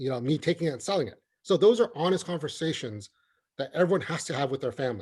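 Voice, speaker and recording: An ordinary speaking voice from a man, with lively intonation and a fairly quick pace. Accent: American. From US, California Bay Area (refugee from Vietnam as toddler). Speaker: county assessor. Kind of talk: webinar Q&A answer. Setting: online webinar. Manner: conversational, frequent fillers and repetitions.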